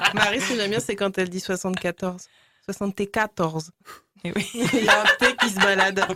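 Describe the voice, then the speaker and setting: At a fairly slow pace and with fairly even intonation, a woman talks in a normal speaking voice. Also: medium pitch for a woman. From rural France near Paris. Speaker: radio show contributor. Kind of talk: casual chat.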